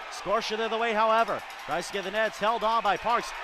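A man talks at a fairly quick pace in an upbeat tone. Noticeable background noise sits behind him. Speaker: hockey play-by-play announcer. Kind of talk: live commentary. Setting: arena at a hockey game. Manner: fast-paced, play-by-play delivery that rises in pitch and energy on goals; upbeat and clipped, rattling off names and plays.

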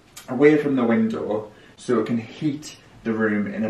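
Audible room echo is present. The speaker is a man. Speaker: home renovation vlogger. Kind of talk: casual vlog chat. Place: home room. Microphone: camera far.

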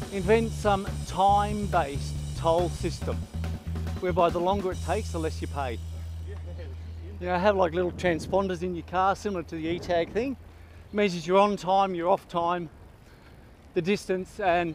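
Faint music plays behind a man talking at a moderate pace with long, frequent pauses, the sound dry with no echo. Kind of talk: casual chat while riding. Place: bicycle. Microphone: helmet.

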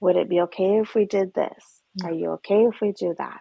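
A woman speaks with a Canadian accent in a fairly low pitch. Her pace is moderate and her intonation fairly even. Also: quiet background, dry sound with no echo. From Alberta, Canada. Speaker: trauma therapist. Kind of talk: interview conversation. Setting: video call. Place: home room. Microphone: video call.

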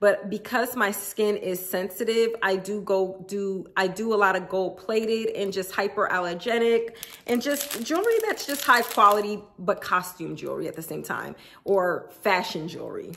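Speaking at a moderate pace with few pauses, a woman has a medium pitch, a fairly bright tone and lively intonation over faint background noise.

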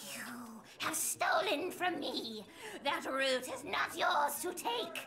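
In a put-on character voice, high in pitch and hissing, the speaker goes at a very slow pace over clear background noise. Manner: angry, hissing.

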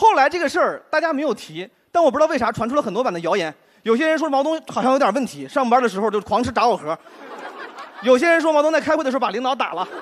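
Over crowd noise in the background, a man speaks at a very fast pace with an extremely high pitch and very wide pitch swings. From Henan, China. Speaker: stand-up comedian. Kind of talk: stand-up. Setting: stage with audience. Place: stage. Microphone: handheld.

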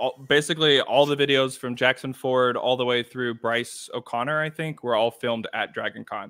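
In a normal speaking voice, a man talks at a moderate pace with ordinary pitch variation. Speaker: author and YouTube creator; YouTube creator. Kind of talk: casual interview. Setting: video call from home. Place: home room.

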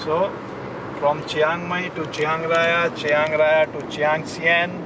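Over noticeable background noise, the speech moves at a very slow pace with a dry sound and no echo. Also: man. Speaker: trip narrator. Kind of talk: casual travel vlog narration. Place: car. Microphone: phone near.

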